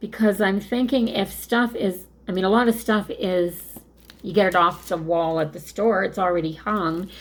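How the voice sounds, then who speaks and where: Using a plain, everyday voice, a woman talks at a medium pitch and moderate pace with ordinary pitch variation. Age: 60s. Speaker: craft video creator. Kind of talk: casual chat. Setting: home craft room.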